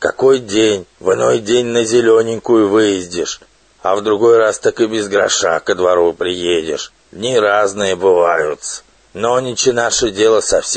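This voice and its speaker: A man puts on a character voice at a medium pitch. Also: moderate pace. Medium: read story. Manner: sly, self-important.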